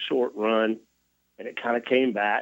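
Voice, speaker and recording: A Tennessee accent comes through at a moderate pace. The pitch varies in an ordinary way. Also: man. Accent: Tennessee Southern. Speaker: touring rock musician, interview guest.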